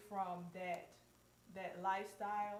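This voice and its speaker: With a Southern US accent, a woman of medium pitch speaks in a monotone, flat way, amid audible room echo and noticeable background noise. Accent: southern drawl. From US South, Mississippi. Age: 30s. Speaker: co-host, holistic skincare business owner. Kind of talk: personal testimony on live panel. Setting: live stream video call.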